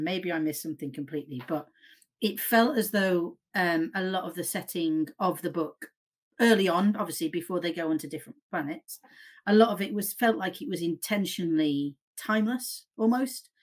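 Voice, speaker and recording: Lively intonation marks a woman talking at a moderate pace. She has an ordinary speaking voice, medium in pitch. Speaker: fan community guest. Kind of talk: casual chat. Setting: video call.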